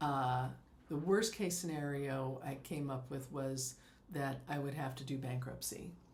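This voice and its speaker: Somewhat breathy and very deep, low for a woman, a female voice with ordinary pitch variation at a fairly slow pace, in audible room echo. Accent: American. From US West Coast. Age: 60s. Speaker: life coach. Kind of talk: podcast interview.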